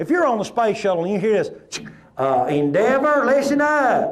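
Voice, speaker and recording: Against noticeable background noise and audible room echo, a man talks at a moderate pace with a slight Southern US accent. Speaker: comedian and fishing show host. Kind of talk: comedy bit and fishing show chat. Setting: outdoors on a boat in salt marshes.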